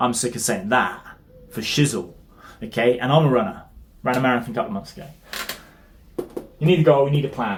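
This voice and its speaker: A man with a British accent at a very fast pace, broken by long, frequent pauses, against noticeable background noise. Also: medium pitch for a man, lively intonation, big swings in loudness. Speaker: fitness coach. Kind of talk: tutorial.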